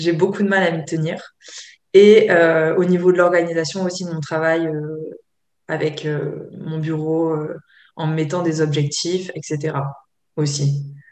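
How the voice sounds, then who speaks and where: Fairly low-pitched woman, fairly slow and fairly even in intonation, with audible room echo. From France, Côte d'Azur. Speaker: yoga teacher and therapist. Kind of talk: interview. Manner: hesitant, many fillers.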